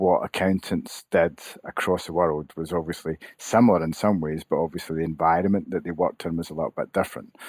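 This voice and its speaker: Someone with a Scottish accent speaks at a very fast pace with hardly any pauses and fairly even intonation. The very clean recording has a silent background and a dry, close sound with no echo. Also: man, very deep, low pitch for a man. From Scotland, Glasgow. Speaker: chief executive of a professional association. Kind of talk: podcast interview.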